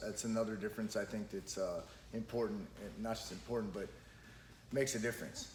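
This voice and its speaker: A man with vocal fry at a fairly quick pace. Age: 30s. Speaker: podcast host and jiu-jitsu school owner. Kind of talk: casual podcast conversation.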